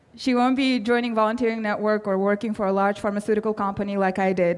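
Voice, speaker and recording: A woman's fairly high voice in a Russian accent, very fast, with fairly even intonation and very even loudness. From Kazakhstan. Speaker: award recipient, public health professional. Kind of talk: acceptance speech.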